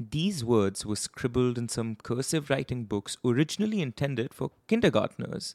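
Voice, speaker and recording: Recorded very cleanly against a silent background, a man with a plain, everyday voice speaks at medium pitch with lively intonation and hardly any pauses. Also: moderate pace, dry, close sound with no echo. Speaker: podcast host. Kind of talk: true-crime narration. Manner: grave, measured storytelling.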